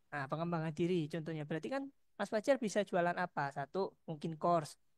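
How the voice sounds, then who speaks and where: A woman with a fairly low pitch talks very fast with lively intonation, recorded very cleanly against a silent background with a dry, close sound and no echo. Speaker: lecturer. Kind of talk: lecture. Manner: soft-spoken. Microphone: headset, sound too quiet.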